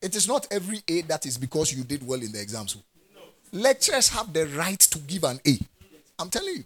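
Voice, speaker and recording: A man with a Ghanaian accent at a fairly quick pace, fairly high pitched with vocal fry and very wide pitch swings. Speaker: preacher. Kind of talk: sermon preached to a live congregation, with call-and-response. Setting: church. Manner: animated, fervent, exhorting in a rising pulpit cadence; direct and authoritative, with laughter and asides to the congregation.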